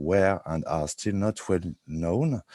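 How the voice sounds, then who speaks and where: In a French accent, the speaker talks at a very slow pace with a dark, mellow tone and ordinary pitch variation. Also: man. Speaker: researcher presenting study results. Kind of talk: online presentation. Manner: halting.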